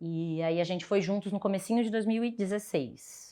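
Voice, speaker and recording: A woman's animated voice in a São Paulo accent, medium in pitch with ordinary pitch variation, at a moderate pace against a quiet background. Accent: Brazilian Portuguese, São Paulo (paulistano). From Brazil, São Paulo south zone. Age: 30s. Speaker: podcast guest, expat sharing career story. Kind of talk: casual interview, personal storytelling. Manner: animated, expressive.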